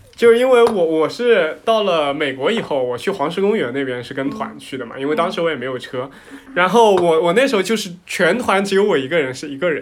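Against noticeable background noise, a man with a high voice talks at a fairly quick pace with hardly any pauses, his pitch swinging very widely and his loudness rising and falling in big swings. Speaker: podcast host. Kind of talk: casual chat.

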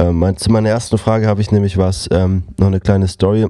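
On a very clean recording with a silent background, a dark, mellow voice moves with ordinary pitch variation. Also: man. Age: 20s. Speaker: podcast co-host. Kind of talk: casual chat.

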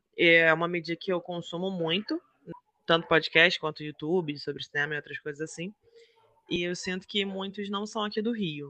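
A man speaks in a high, bright, sharp voice with fairly even intonation at a moderate pace. The sound is dry and close, with no echo. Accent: Rio de Janeiro. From Rio de Janeiro, Brazil. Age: 30s. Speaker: podcast co-host. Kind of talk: casual podcast introduction.

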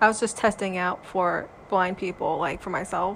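Medium pitch, moderate pace and fairly even intonation in a woman's ordinary speaking voice. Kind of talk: casual chat.

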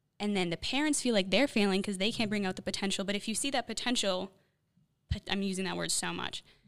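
A woman at medium pitch, speaking at a very fast pace. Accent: Chicago. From US Midwest, Chicago. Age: 20s. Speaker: young guest from discipleship program. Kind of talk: casual chat. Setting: studio.

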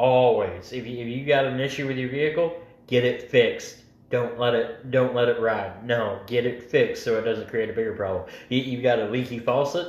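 Speaking at a fairly quick pace with fairly even intonation, a man is heard with audible room echo. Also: medium pitch for a man. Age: 20s. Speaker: factory worker. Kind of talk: casual chat.

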